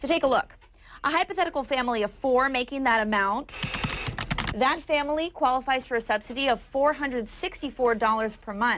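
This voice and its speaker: A woman's high-pitched, lively, fairly quick speech over noticeable background noise. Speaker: TV news anchor and reporter. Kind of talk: TV news anchoring and reporting.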